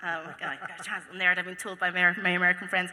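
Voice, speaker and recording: A woman speaks at medium pitch and a moderate pace. Noticeable background noise runs underneath. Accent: Scottish. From Scotland. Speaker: convention panel host. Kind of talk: panel moderation. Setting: stage with audience.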